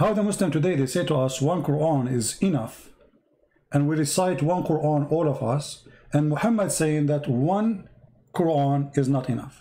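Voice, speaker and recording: Somewhat breathy with a dark, mellow tone, a man speaks at a fairly high pitch with ordinary pitch variation and very even loudness. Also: moderate pace. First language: not English. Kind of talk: live debate with a caller. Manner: animated.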